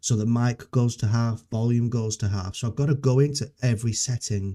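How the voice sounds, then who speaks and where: A man with a dark, mellow tone speaks at a moderate pace and medium pitch with fairly even intonation, on a very clean recording with a silent background. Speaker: software developer live streamer. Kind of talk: live coding stream, casual chat. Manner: halting, many fillers and restarts. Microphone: noise cancelling software, levels reset, videos quiet.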